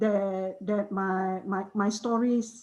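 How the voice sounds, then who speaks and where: Her voice is somewhat breathy, and this woman has a dark, mellow tone. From Malaysian Borneo (Sarawak), Iban community. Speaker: author. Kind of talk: panel discussion. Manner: hesitant, many repetitions and fillers.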